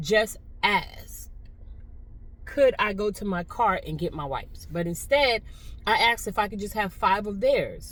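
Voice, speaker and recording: The pace is moderate. A woman does the talking. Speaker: vlogger. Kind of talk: casual vlog monologue. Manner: chatty, conversational.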